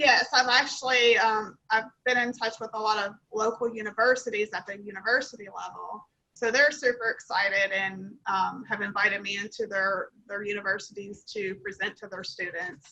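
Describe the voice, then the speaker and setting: A woman with a Kentucky accent talks with hardly any pauses, big swings in loudness, fairly even intonation and a bright, sharp tone. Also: fairly high pitch for a woman, moderate pace. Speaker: nonprofit founder. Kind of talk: Q&A after pitch.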